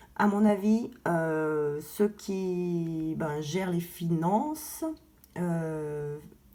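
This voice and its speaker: A woman speaks with fairly even intonation. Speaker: gold investing vlogger. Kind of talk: casual vlog. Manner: halting, many fillers.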